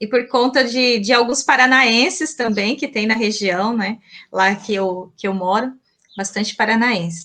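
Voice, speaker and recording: A woman's fairly high voice has a bright, sharp tone. She speaks at a fairly slow pace. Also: ordinary pitch variation. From Mato Grosso, Brazil (Colíder). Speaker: teacher. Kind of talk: interview.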